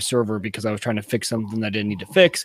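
The voice is a man's. Noticeable background noise runs behind it. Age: 30s. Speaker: podcast co-host. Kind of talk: casual chat.

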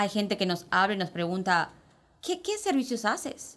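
A woman speaks at a medium pitch and a moderate pace. Hers is a plain, everyday voice. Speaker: spa operations director. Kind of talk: casual chat.

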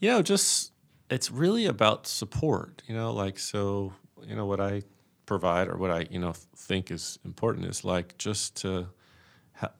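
A man with a plain, everyday voice, fairly low in pitch, talks at a fairly slow pace in a very clean recording with a silent background. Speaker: acupuncturist. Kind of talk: casual interview chat.

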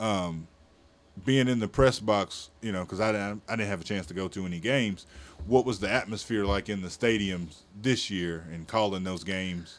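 Fairly low-pitched man with an unremarkable speaking voice, ordinary pitch variation and a moderate pace. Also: very clean recording, silent background. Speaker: podcast host. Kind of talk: casual interview.

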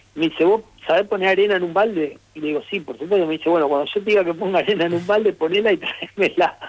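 Talking at a very fast pace with hardly any pauses, a man with a Rosario accent uses a high pitch and ordinary pitch variation. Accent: Rosario Argentine Spanish, dropped s. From Argentina, Rosario. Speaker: former footballer. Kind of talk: radio interview.

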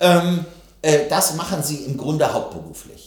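A man speaks at a moderate pace with a fairly high pitch. Audible room echo and noticeable background noise fill the recording. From West Germany. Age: 50s. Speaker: politician. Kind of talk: interview. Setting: studio.

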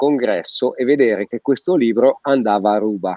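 Using a plain, everyday voice, a man talks at a moderate pace with ordinary pitch variation. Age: 50s. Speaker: physiotherapist. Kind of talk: casual chat. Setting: video call.

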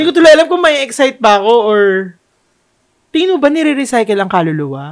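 A man talks very fast at an extremely high pitch, with very wide pitch swings. Long, frequent pauses break up his speech. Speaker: podcast co-host. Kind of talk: casual chat. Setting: home.

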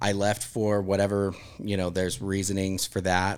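A man speaks at a moderate pace with a fairly low pitch. He has a plain, everyday voice. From Utah, US. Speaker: catering company general manager. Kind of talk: casual interview. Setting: studio.

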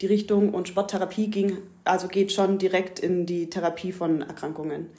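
Her voice medium in pitch with a dark, mellow tone, a woman speaks at a moderate pace in a monotone, flat intonation. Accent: Swabian. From southern Germany, Ulm area (Swabia). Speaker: yoga teacher. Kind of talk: casual chat. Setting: at the host's home.

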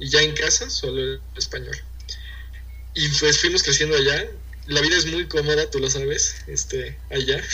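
Pausing long and often, a man speaks with a Mexican accent amid noticeable background noise and audible room echo. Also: moderate pace. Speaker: university student and entrepreneur. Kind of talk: casual interview chat.

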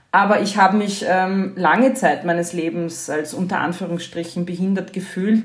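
A woman's somewhat breathy voice at a medium pitch, with ordinary pitch variation and audible room echo. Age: 40s. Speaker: journalist and podcaster. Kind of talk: casual interview conversation.

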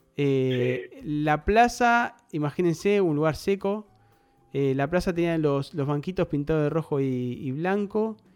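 A man's fairly high voice in an Argentine accent, very slow, with lively intonation. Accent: Argentine Spanish (rioplatense voseo). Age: 30s. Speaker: podcast host. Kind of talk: casual chat.

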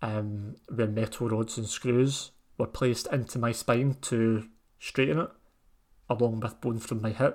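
In a very clean recording with a silent background, a man with a plain, everyday voice speaks fairly slowly with fairly even intonation. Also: medium pitch for a man. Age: 20s. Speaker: podcast host. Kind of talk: personal monologue.

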